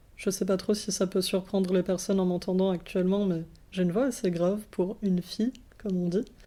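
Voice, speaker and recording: Speaking at a fairly quick pace, a woman uses a dark, mellow tone at medium pitch with monotone, flat intonation. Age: 20s. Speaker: philosophy student. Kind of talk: interview. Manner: calm, measured; hesitant.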